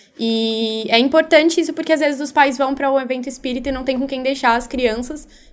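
A woman with a high voice talks very fast with fairly even intonation and hardly any pauses. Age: young. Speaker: youth volunteer coordinator. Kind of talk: radio interview.

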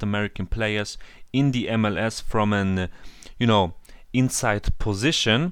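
A man with a German accent speaks at a fairly low pitch on a very clean recording with a silent background. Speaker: football podcast host. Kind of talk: interview. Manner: halting.

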